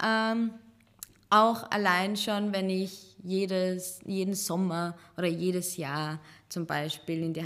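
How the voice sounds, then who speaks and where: Using fairly even intonation, a woman speaks at a very slow pace. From Serbian Roma, raised partly in Chicago and Vienna. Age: 20s. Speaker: teacher and Roma activist. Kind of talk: casual interview conversation. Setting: office studio.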